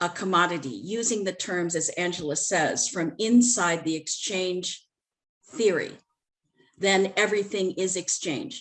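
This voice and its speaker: Using a normal speaking voice, a woman talks with an American accent at a fairly slow pace. Her medium pitch carries lively intonation. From United States. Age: 60s. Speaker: panel moderator. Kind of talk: panel discussion.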